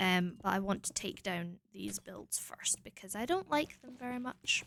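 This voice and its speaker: A woman mumbles in a Scottish accent at a moderate pace, her loudness swinging widely. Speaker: streamer. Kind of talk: casual chat. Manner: mumbling.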